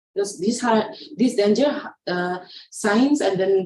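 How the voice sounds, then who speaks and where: With audible room echo around her, a woman talks at a medium pitch in a dark, mellow tone with lively intonation. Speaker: pediatric nurse trainer. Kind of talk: online training lecture. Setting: online session. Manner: fast; halting.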